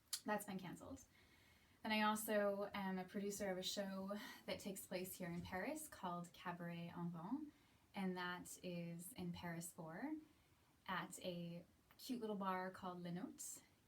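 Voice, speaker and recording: With an American accent, a woman talks at a medium pitch with ordinary pitch variation and a somewhat breathy sound. She leaves long, frequent pauses, and audible room echo can be heard. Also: moderate pace. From US, Seattle. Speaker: aerialist and cabaret performer. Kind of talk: casual monologue to camera.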